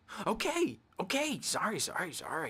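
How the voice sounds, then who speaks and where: Using a put-on character voice, a man talks at a moderate pace in a high pitch with very wide pitch swings. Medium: video game. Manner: erratic, manic.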